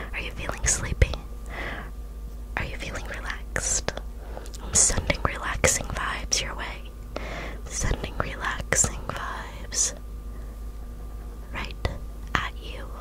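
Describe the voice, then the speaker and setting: A woman speaks very slowly, with long, frequent pauses. Loud background noise sits behind her. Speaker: ASMR creator. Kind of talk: soft roleplay talk to viewer. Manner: soft, breathy ASMR murmur. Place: home room.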